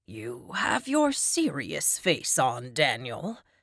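A raspy, put-on character voice at a low-to-middle pitch moves at a very slow pace. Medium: read story. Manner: dry humor.

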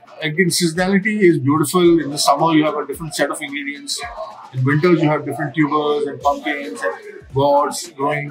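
Clear music plays in the background as a man speaks fairly quickly with fairly even intonation. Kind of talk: interview answer. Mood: relaxed, friendly. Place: cafe.

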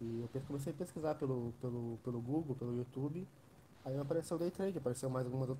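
Amid light background noise, a man talks very fast in a somewhat breathy voice with a dark, mellow tone and fairly even intonation. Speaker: trader and student support. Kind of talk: live stream interview. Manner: halting. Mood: reflective, candid. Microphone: quiet.

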